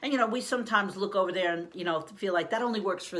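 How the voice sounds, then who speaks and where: Intonation is lively as a woman speaks. Background noise is noticeable. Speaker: life coach. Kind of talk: motivational talk to camera. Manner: fast.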